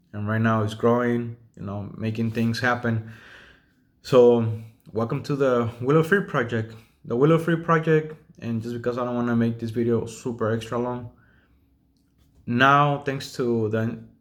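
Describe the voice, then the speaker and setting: A man with a Spanish accent speaks at medium pitch and a moderate pace. He pauses long and often, and his pitch varies in an ordinary way. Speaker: self-taught drafter and home builder. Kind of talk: casual video monologue. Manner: hesitant, with fillers.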